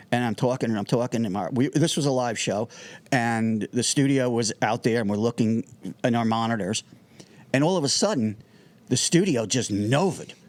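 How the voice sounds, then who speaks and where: Speaking with a New Jersey accent, a man with a medium pitch shows ordinary pitch variation. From New Jersey (Irvington). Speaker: music technology entrepreneur and TV producer. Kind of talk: casual interview chat. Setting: studio. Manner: fast; animated.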